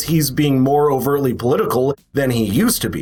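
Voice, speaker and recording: With an American accent, a man talks at a fairly quick pace amid audible room echo. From South Carolina. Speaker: political commentary youtuber. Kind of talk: political commentary.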